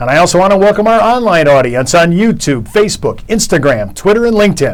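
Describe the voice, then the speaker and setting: Over noticeable background noise, a man talks very fast at a high pitch with lively intonation and very even loudness. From Chicago. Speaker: radio talk show host. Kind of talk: radio interview.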